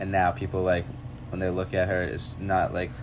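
A man's very deep, low voice at a fairly quick pace, amid noticeable background noise and audible room echo. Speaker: college student podcast host. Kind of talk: casual chat.

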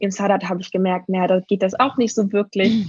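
Somewhat breathy, a woman speaks at medium pitch with fairly even intonation. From Germany. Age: 30s. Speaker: needs coach. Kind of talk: interview.

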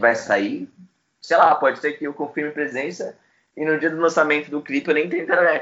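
A man with a normal speaking voice, fairly high-pitched for a man, talks at a moderate pace with ordinary pitch variation. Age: 20s. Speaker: music journalist and publicist. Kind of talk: casual interview.

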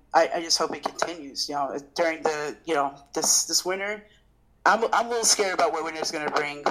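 The speaker has an American accent and talks at a fairly quick pace. Pitch variation is ordinary, and background noise is noticeable. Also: woman, fairly low pitch for a woman. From military bases: Japan, Portugal, US states. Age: 30s. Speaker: chef and food business owner. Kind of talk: casual interview. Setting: remote call.

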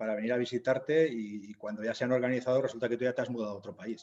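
Talking at a very fast pace, a man keeps his intonation fairly even. The rise and fall of his voice stays mostly level. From Zaragoza, Aragon, Spain. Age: 50s. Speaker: novelist and humanitarian worker. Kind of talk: interview.

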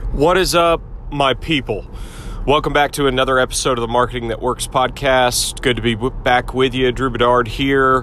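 Noticeable background noise behind a man's medium-pitched voice with fairly even intonation. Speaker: podcast host. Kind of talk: solo podcast monologue. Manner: casual, filler-heavy.

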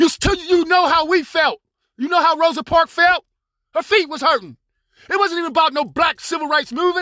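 A man with an American accent speaks in an extremely high, bright, sharp voice, raised and projected, at a fairly quick pace. His tone is animated, and the sound is dry and close with no echo. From Pittsburgh, Pennsylvania. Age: 60s. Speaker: podcaster. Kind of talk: angry monologue. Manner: halting.

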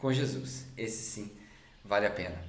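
A man's voice, varying in pitch in an ordinary way, comes through with audible room echo. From Brazil. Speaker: podcaster. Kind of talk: casual monologue; sermon.

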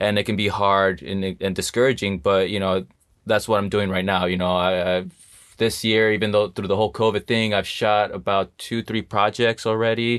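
A man talks in an ordinary speaking voice, fairly low in pitch, with fairly even intonation. His pace is moderate and the background is quiet. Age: 30s. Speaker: film set electrician. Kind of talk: interview.

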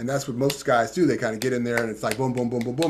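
At a very fast pace, a man talks at a medium pitch. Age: 60s. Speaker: tantra and intimacy teacher. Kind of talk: interview.

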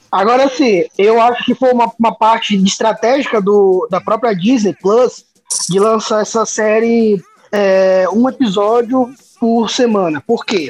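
A man with a high voice and ordinary pitch variation talks at a fairly slow pace. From Brasília, Brazil. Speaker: podcast co-host. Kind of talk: casual chat.

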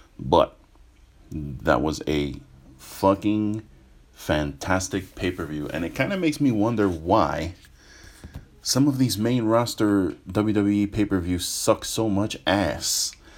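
Lively intonation marks this man's delivery, with an American accent. He speaks at a very slow pace with a fairly low pitch. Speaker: podcast host, wrestling reviewer. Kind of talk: casual monologue review. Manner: kept to medium volume.

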